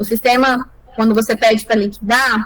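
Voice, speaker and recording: The intonation is fairly even. Noticeable background noise can be heard. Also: woman. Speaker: lawyer teaching calculation software. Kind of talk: online tutorial.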